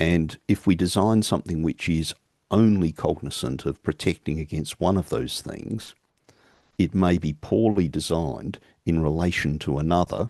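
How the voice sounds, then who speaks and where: A man with an Australian accent, a very deep, low pitch and a dark, mellow tone, at a moderate pace with ordinary pitch variation, in a dry, close sound with no echo. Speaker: keynote speaker, engineering academic. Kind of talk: conference Q&A answer.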